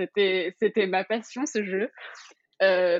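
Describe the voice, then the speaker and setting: The woman here speaks at a very slow pace. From Paris region, France. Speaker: fashion influencer. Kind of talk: casual interview. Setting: remote recording.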